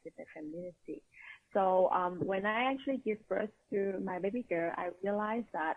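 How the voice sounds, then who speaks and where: A woman speaks at a moderate pace with a Vietnamese accent. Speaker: empowerment coach. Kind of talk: interview.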